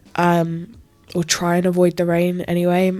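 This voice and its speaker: A woman's fairly low-pitched voice comes through with music in the background. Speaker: YouTube reaction creator. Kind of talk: casual vlog intro.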